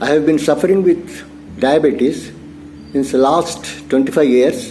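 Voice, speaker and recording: Music plays in the background. The speaker keeps a fairly slow pace and very even loudness. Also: man. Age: 60s. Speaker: retired security officer. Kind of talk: testimonial interview.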